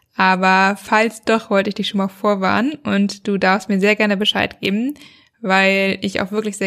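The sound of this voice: This woman talks at a moderate pace with little pitch movement. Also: fairly bright tone.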